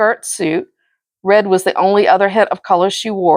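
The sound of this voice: An unforced reading voice holds fairly even intonation over a quiet background.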